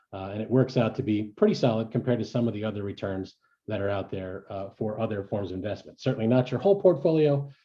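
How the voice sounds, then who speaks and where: A man's medium-pitched, somewhat breathy voice at a very fast pace. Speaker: startup investment organizer. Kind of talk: presentation.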